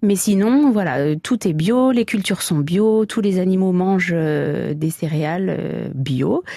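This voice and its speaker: At a very slow pace, a woman with a medium pitch uses lively intonation and very even loudness, with hardly any pauses. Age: 30s. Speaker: farmer and butcher. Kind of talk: radio interview.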